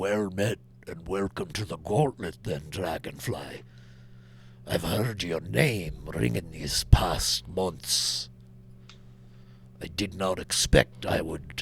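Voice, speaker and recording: A man's put-on character voice, rumbling and very deep, at a very slow pace with long, frequent pauses over clear background noise. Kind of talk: formal, ceremonial.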